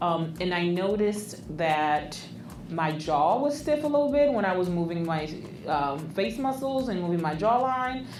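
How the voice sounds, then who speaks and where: A woman speaks at a medium pitch with very wide pitch swings. Audible room echo and noticeable background noise are present. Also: moderate pace. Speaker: therapist and podcast co-host. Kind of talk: casual chat.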